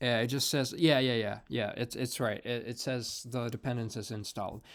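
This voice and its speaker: A man of medium pitch with a non-native accent, at a fairly quick pace with fairly even intonation. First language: not English. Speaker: programming tutorial creator. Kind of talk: screen-recorded coding tutorial. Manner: many fillers and repetitions; casual, conversational.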